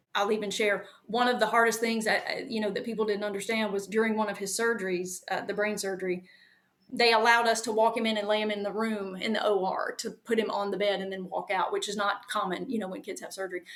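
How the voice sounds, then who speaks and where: A woman speaks in a Southern US accent at a fairly high pitch. Her delivery is very fast, with monotone, flat intonation. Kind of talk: interview.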